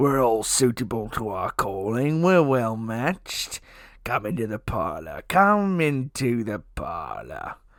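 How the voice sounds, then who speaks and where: Putting on a character voice, a man speaks at a fairly slow pace and medium pitch, with very wide pitch swings. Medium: read story. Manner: cackling, wheedling.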